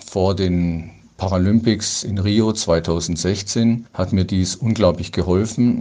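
A man's fairly low voice, dark and mellow in tone, with ordinary pitch variation. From Ruhr area, western Germany (Dortmund). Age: 60s. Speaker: para-cycling athlete. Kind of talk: interview.

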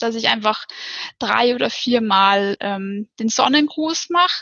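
A woman speaks at a very slow pace. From Upper Bavaria, Germany (near Ammersee). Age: 30s. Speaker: office clerk, yoga course participant. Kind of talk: podcast interview. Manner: halting, many filler sounds.

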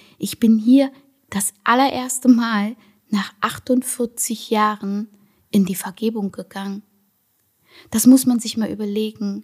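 A very slow pace broken by long, frequent pauses. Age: 40s. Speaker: podcaster, sugar-free lifestyle coach. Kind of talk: personal monologue, motivational testimony. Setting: at home in her apartment.

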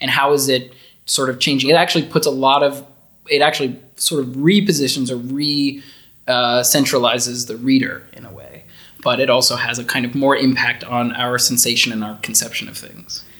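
A man with an American accent, medium pitch, a bright, sharp tone and fairly even intonation. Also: big swings in loudness. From US South, Florida. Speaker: university lecturer. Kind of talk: casual academic interview. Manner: hesitant, fillers.

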